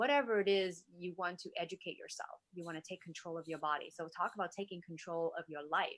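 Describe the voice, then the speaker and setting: With a Vietnamese accent, a woman talks with hardly any pauses and ordinary pitch variation. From Vietnam, moved to US at nine. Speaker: wellness influencer and entrepreneur. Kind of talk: interview conversation.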